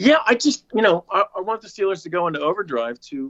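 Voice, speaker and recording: A fairly quick-paced man's voice in an American accent. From Pittsburgh, western Pennsylvania. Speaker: actor and stage professional. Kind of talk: casual chat.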